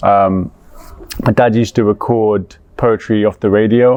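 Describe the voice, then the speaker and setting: A man with a London accent talks at a medium pitch and a fairly slow pace with fairly even intonation. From London, England. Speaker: poet. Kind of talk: interview answer. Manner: warm.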